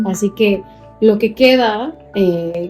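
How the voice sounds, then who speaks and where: A woman's medium-pitched voice with a Salvadoran accent and ordinary pitch variation, music in the background. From El Salvador. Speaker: teacher. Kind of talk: interview answer.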